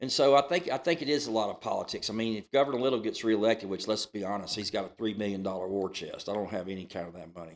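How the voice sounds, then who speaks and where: The man speaks very fast with a strong Southern US accent. His fairly low voice has lively intonation. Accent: thick Southern US. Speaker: county commissioner. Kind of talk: casual interview.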